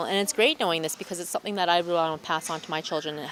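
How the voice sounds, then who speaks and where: A woman with an Albertan accent speaks in a fairly low pitch with fairly even intonation. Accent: Canadian English (Alberta). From Alberta, Canada (small town). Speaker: museum co-host. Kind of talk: casual interview chat. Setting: in a museum. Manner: halting with repetitions.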